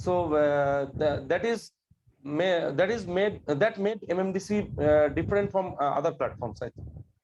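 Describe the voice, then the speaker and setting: Here a man speaks with a Bengali accent at a high pitch. His intonation is lively and his pace moderate. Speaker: government employee, course graduate. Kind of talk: interview. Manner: halting, many fillers.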